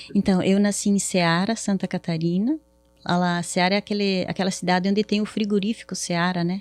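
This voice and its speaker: In a southern Brazilian accent, a woman talks at a fairly quick pace and medium pitch, with fairly even intonation and very even loudness, recorded with a dry, close sound and no echo. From southern Brazil, Paraná. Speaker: therapist. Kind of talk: podcast interview.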